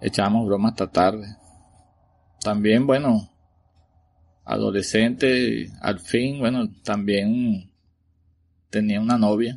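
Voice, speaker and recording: Very slowly and with long, frequent pauses, a man with a Venezuelan accent talks in a fairly low pitch, his intonation fairly even and his loudness very even. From Venezuela, Caracas. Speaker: listener's father sharing a paranormal story. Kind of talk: recorded personal storytelling.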